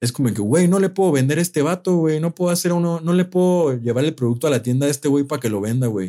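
A man talks at a very fast pace with hardly any pauses and lively intonation, his fairly high pitch paired with a dark, mellow tone. His loudness stays very even, and the recording is very clean with a silent background. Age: 20s. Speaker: music producer. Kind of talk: casual chat.

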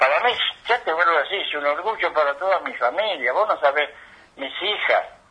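This man speaks with an Argentine accent at a fairly quick pace. His pitch is high and his intonation lively. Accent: Rioplatense Argentine Spanish. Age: 70s. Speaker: retired footballer. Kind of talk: interview.

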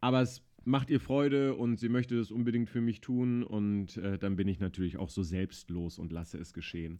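A fairly low-pitched man at a moderate pace with hardly any pauses. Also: ordinary pitch variation. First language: not German (speaking German). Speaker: podcast host. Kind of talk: casual chat. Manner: animated.

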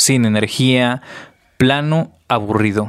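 A very slow delivery with a Mexican accent. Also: man. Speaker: podcast host. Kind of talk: casual monologue.

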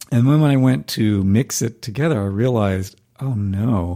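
With an American accent, a man speaks in a dark, mellow tone at a fairly low pitch. The recording is very clean, with a silent background. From US South, North Carolina. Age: 50s. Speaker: singer-songwriter and music professor. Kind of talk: casual interview.

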